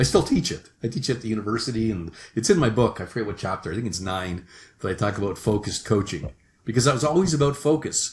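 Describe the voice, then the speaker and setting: A man with a Canadian accent speaks at a very fast pace and medium pitch, somewhat breathy, with lively intonation, on a very clean recording with a silent background. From Canada. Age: 60s. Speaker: sales management consultant. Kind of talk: podcast interview. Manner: hesitant, with frequent restarts.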